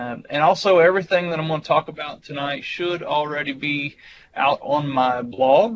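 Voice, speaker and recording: Speaking at a moderate pace, a man with a Southern US accent has a fairly high voice. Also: ordinary pitch variation. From US South. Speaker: IT engineer and presenter. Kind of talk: technical presentation. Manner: casual, with fillers.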